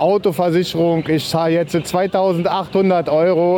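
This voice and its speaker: Noticeable background noise surrounds a man's high-pitched voice. His intonation is fairly even. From Berlin. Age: 40s. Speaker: protester. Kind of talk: street interview. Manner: emphatic.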